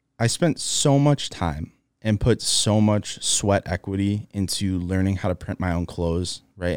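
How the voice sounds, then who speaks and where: Ordinary pitch variation and a moderate pace from a man, on a very clean recording with the background silent. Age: 20s. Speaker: podcast host. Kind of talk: casual monologue. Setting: studio on camera. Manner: hesitant, filler-heavy.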